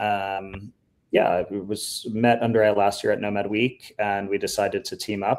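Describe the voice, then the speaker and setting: A man speaks with a New York accent at a fairly low pitch. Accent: New York American. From US, New York. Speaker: startup founder and event co-organizer. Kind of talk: live webinar presentation. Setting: live stream.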